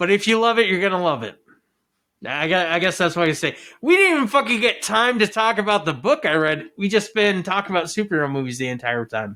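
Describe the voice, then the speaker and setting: A man shouts in a raised, projected voice, high-pitched and very fast with very wide pitch swings. The recording is very clean with a silent background. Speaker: podcast host. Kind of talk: casual movie review rant. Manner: loud, yelling.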